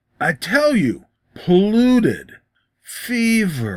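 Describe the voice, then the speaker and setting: This man's voice is a put-on character. The pitch sits high. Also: very slow pace. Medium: read story. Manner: brusque.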